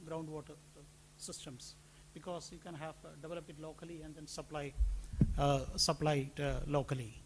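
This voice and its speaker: A man talks at a fairly quick pace. Room echo can be heard. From India. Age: old. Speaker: conference presenter. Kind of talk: conference presentation.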